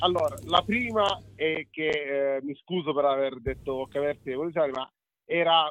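A man with an unremarkable speaking voice, fairly high in pitch, with ordinary pitch variation and a moderate pace. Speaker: food guest, joins by phone. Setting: phone or video call.

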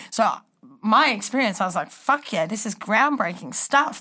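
A woman with an Australian accent talks at a moderate pace in a fairly high pitch, her tone bright and sharp and her intonation lively. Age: 20s. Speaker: reality TV contestant. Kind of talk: casual chat.

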